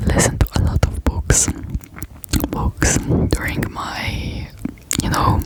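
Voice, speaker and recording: Over noticeable background noise, a whisper unfolds at a very slow pace. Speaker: ASMR creator. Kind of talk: ASMR rambling talk to camera. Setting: close-up microphone. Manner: whispered.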